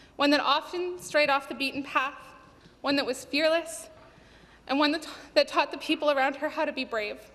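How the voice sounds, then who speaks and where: A woman's high voice at a moderate pace with fairly even intonation. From Canada. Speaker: provincial legislator. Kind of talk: parliamentary statement. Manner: impassioned. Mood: somber, tribute to lost friend. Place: hall. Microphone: podium.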